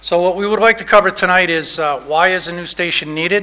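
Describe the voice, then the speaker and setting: A man talks in a raised, projected voice at a moderate pace. His intonation stays monotone and flat. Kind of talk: public presentation. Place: hall. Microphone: podium.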